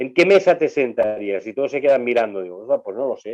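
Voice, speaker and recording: The man talks fairly quickly, the sound dry and close with no echo. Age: 60s. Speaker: sports journalist and university lecturer. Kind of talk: casual chat.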